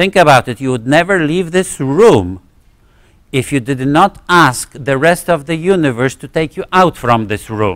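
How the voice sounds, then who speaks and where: A man with a Polish accent speaks at a fairly slow pace, his intonation lively. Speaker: physics professor. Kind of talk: lecture. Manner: halting, many fillers and restarts.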